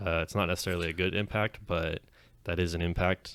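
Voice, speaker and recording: A man with a Californian accent and a very deep, low pitch talks at a fairly quick pace. The very clean recording has a dry, close sound with no echo and a silent background. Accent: Californian American English. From US West, Clovis, Fresno County, California. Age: 20s. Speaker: podcast co-host, card game player. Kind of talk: casual chat. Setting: podcast recording.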